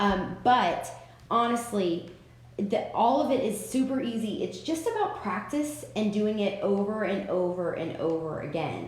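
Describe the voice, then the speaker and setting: Lively in intonation, a woman talks at a fairly slow pace amid audible room echo. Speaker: craft software tutor. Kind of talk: live-stream tutorial. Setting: live stream with chat. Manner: casual, chatty. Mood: relaxed, encouraging. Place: home room. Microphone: webcam.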